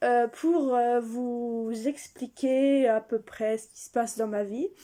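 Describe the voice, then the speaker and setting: A woman's high-pitched voice with a dark, mellow tone at a very slow pace. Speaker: vlogger. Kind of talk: casual vlog. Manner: hesitant, many fillers.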